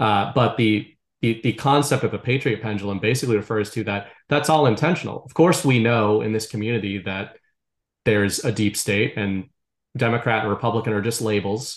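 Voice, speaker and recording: With an American accent, a man talks at a fairly quick pace in an ordinary speaking voice, at medium pitch with ordinary pitch variation. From US Northeast, Boston area. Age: 30s. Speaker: writer and content creator. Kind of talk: casual chat.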